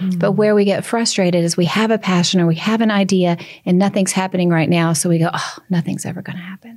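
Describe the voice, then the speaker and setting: On a very clean recording with a silent background, a woman with a Southern accent talks at a medium pitch with fairly even intonation. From US South. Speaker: author and speaker. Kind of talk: interview.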